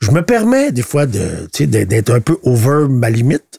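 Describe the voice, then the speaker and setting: A man with a Quebec accent speaks at a medium pitch in a dry, close sound with no echo. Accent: Québécois French. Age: 60s. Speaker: politician. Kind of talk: podcast interview. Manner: halting, many repetitions and fillers.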